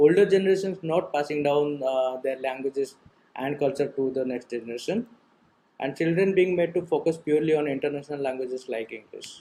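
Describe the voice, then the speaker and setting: In an Odisha accent, the voice has a dark, mellow tone. It moves at a fairly quick pace with ordinary pitch variation. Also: man, fairly high pitch for a man. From Odisha, India. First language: Odia. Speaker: type designer. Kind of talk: conference presentation.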